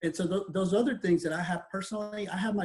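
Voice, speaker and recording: The man talks at a very fast pace. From Mexico City, raised in Texas. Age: 40s. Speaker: pastor. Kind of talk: interview.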